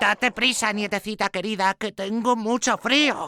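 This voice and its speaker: A hoarse, high-pitched put-on character voice from a man, at a moderate pace. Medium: audio drama. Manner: falsely soft, disguising.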